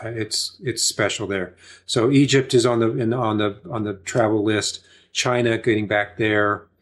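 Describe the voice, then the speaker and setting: A man with an American accent speaks at a fairly slow pace and a medium pitch, recorded very cleanly against a silent background. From Oklahoma. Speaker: acting teacher and filmmaker. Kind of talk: casual interview chat. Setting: podcast studio. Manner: halting, many fillers and repeats.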